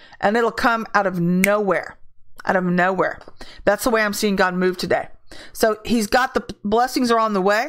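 In a normal speaking voice, a woman talks at a moderate pace and medium pitch, with ordinary pitch variation and very even loudness. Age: 50s. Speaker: prophetic ministry leader. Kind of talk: prophetic word livestream. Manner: casual.

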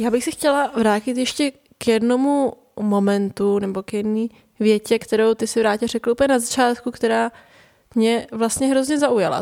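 In a normal speaking voice, the speech moves at a moderate pace with fairly even intonation, with a dry, close sound with no echo on a very clean recording with a silent background. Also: woman. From Prague, Czech Republic. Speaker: podcast host. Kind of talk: conversational interview.

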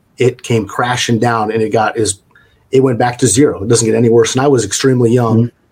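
This man's voice is pitched in the medium range and sounds somewhat breathy. His intonation stays fairly even. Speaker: franchise executive. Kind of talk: interview.

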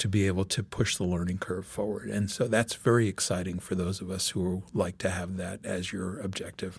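Breathing somewhat audibly, a man talks at a fairly quick pace and a fairly low pitch. The recording is very clean, with a silent background. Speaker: venture capitalist. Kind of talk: interview.

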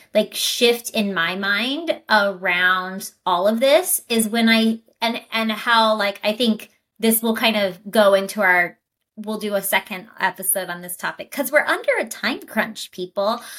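A woman's unremarkable speaking voice sits at a fairly high pitch. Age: 30s. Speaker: wellness podcast co-host and health coach. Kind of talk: casual chat.

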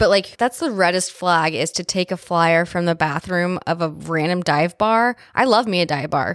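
A plain, everyday voice talks at a moderate pace with hardly any pauses. Pitch variation is ordinary, and the sound is dry and close with no echo. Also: woman, fairly low pitch for a woman. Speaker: podcast host. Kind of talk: casual chat. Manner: casual, profane.

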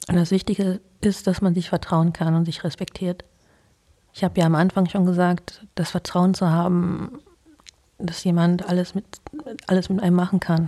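Speaking at a moderate pace with a fairly low pitch, a woman uses monotone, flat intonation broken by long, frequent pauses. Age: 40s. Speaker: interview guest. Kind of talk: casual interview.

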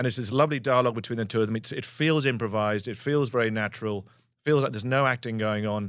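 A man with an English accent speaks very fast at a medium pitch, his intonation fairly even, on a very clean recording with a silent background. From England. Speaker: actor. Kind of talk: casual chat.

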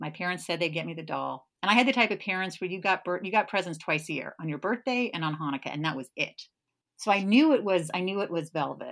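Talking at a very fast pace, a woman sounds animated, with lively intonation at a medium pitch. The recording is very clean, with a silent background. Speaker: podcast host. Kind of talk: casual chat.

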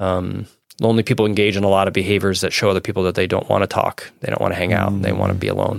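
On a very clean recording with a silent background, a man speaks in a fairly low pitch with vocal fry and monotone, flat intonation. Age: 40s. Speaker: communication professor. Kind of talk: casual interview.

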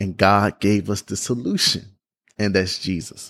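A man speaks in a Southern US accent, with a dry, close sound and no echo on a very clean recording with a silent background. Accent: Southern US (Georgia). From US South, Georgia. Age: 20s. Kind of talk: faith testimony monologue. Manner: repeats words, halting in places.

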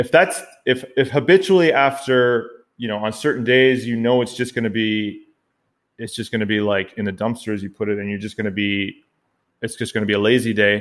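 A man with a Canadian accent talks at a fairly quick pace in a normal speaking voice, with a medium pitch and ordinary pitch variation. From Canada. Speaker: personal trainer and podcast co-host. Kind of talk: casual chat.

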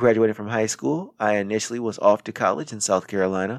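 In an American accent, a man talks at a fairly quick pace in a normal speaking voice. The recording is very clean with a silent background, the sound dry and close with no echo. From Racine, Wisconsin. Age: 30s. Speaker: podcast host. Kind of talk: scripted monologue. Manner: formal.

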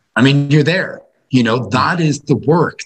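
With a Dublin accent, a man speaks at a fairly slow pace in a somewhat breathy voice. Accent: Irish, Dublin. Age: 40s. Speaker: philosophy teacher. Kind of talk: casual chat.

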